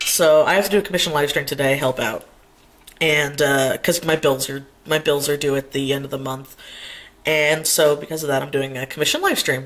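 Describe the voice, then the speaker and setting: Putting on a raspy character voice, a man talks at a fairly quick pace with a fairly high pitch and fairly even intonation. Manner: speaking quietly, quieter than usual.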